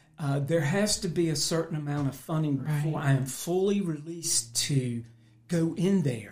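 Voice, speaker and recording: A man at a fairly high pitch and moderate pace, with noticeable background noise. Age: 60s. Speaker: pastor. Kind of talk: testimony.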